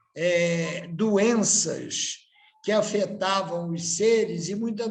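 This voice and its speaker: The speech moves at a very slow pace with ordinary pitch variation. Audible room echo fills the recording. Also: man. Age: 60s. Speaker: candomblé priest. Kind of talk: panel talk.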